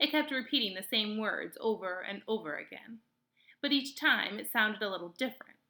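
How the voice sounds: The reading voice is natural, and the background stays quiet.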